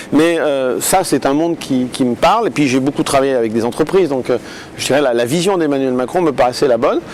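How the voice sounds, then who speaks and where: A man talks at a fairly quick pace and fairly high pitch, with ordinary pitch variation. Noticeable noise sits in the background. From France, Lyon. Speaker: politician. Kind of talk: interview. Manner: hesitant, many fillers.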